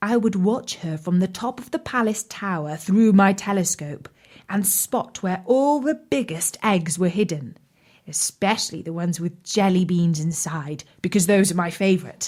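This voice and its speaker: Putting on a booming character voice, a woman speaks at a moderate pace and medium pitch. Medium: read story.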